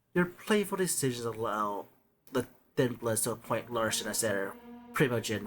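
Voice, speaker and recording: A man puts on a character voice, his pitch medium and his pace moderate. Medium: virtual streamer.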